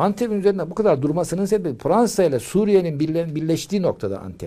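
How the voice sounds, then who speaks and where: A man with a high voice and a dark, mellow tone talks at a fairly quick pace. His intonation is lively. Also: quiet background. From Turkey, Ankara. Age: 70s. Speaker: retired translator; interviewee. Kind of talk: interview. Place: home room.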